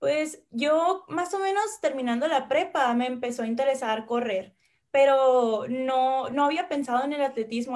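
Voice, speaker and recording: Ordinary pitch variation in a woman's high voice, delivered at a fairly slow pace. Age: 20s. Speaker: university athlete. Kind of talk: interview.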